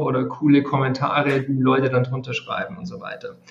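Here a man uses an ordinary speaking voice at a fairly high pitch. His pace is moderate and his intonation fairly even. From Bavaria, Regensburg. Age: 30s. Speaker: math tutor and education creator. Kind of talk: interview.

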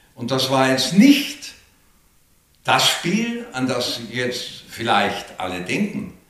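With audible room echo, a man talks very slowly at a medium pitch, his pitch swinging very widely. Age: 70s. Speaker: retired football radio reporter. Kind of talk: interview. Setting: his living room.

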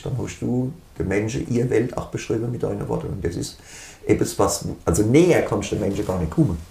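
The voice swings very widely in pitch. Room echo is audible. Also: man. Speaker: band musician. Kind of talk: casual interview. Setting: band rehearsal room.

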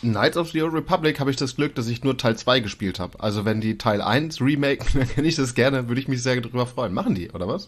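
Very fast speech with hardly any pauses and ordinary pitch variation. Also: man, medium pitch for a man. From northern Germany, East Frisia. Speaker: podcast co-host. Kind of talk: casual chat. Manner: animated.

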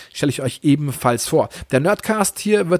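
At a moderate pace, a man with a fairly high pitch speaks in an unremarkable speaking voice. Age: 40s. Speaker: podcast host and YouTuber. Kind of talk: casual solo podcast monologue.

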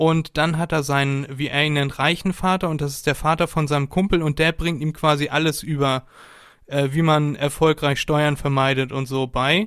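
A man with a fairly high pitch keeps a fairly even intonation at a moderate pace in a very clean recording with a silent background. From northern Germany, near Hamburg. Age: 20s. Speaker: podcaster, student. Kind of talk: casual chat.

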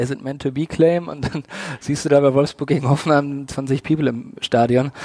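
Noticeable background noise surrounds a man speaking fairly quickly at a medium pitch with fairly even intonation. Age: 30s. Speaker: football fan activist. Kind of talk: interview.

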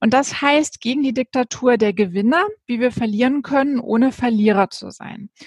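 At a moderate pace, a woman speaks at a high pitch with ordinary pitch variation and big swings in loudness. The sound is dry and close, with no echo. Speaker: podcast host. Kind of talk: interview. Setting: video call.

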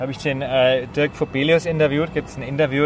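A man talks with a Franconian accent and fairly even intonation. Background noise is noticeable. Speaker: podcast host. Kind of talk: casual chat. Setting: outdoors on a rooftop terrace.

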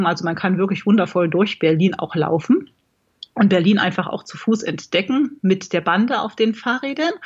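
The voice is somewhat breathy and the pace moderate. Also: woman. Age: 40s. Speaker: blogger and amateur marathon runner. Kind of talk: casual interview.

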